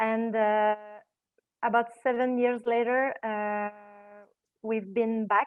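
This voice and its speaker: Someone with a French accent talks at a very slow pace in a monotone, flat intonation, leaving long, frequent pauses. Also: woman, fairly high pitch for a woman. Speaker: film director. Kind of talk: virtual panel Q&A answer. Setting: video call. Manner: halting, many fillers.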